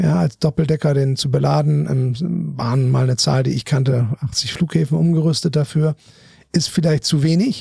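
A man speaks in a normal speaking voice at medium pitch and a moderate pace, with lively intonation and very even loudness. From northern Germany (Bremen). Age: 50s. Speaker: aerospace finance executive. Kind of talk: interview.

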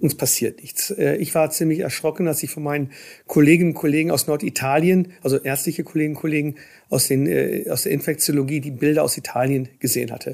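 A man's fairly high voice at a very fast pace, with fairly even intonation, on a very clean recording with a silent background. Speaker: politician and infectious disease professor. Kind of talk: interview.

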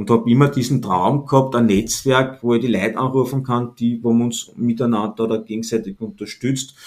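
Speaking at a fairly quick pace with hardly any pauses, a man with a slight Austrian accent keeps a medium pitch and fairly even intonation. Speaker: entrepreneur and positioning consultant. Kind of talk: interview. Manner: relaxed, casual.

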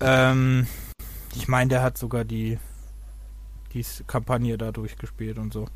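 A man speaks at a moderate pace. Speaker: gaming podcast co-host. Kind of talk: casual chat.

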